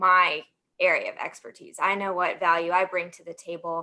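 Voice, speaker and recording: A woman with a slight Southern US accent speaks at a moderate pace in a medium pitch. Her tone is bright and sharp against a quiet background. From US South, Alabama. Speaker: sports marketing professional. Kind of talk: panel discussion.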